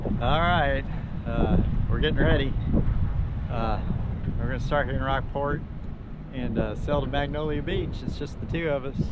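Over loud background noise, the speech moves at a moderate pace with long, frequent pauses in a dry sound with no echo.

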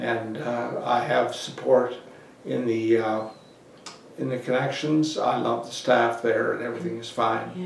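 A man speaks in a flat monotone at a fairly slow pace. The room echo is audible, and there is light background noise. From Prince Edward Island, Canada. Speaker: oral history interviewee. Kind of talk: oral history interview answer. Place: office.

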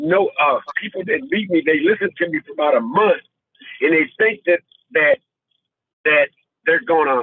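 Over a quiet background, a man speaks at a moderate pace. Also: dry sound with no echo. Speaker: viewer sharing testimony. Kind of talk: testimony. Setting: video call. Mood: emotional, earnest. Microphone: phone line.

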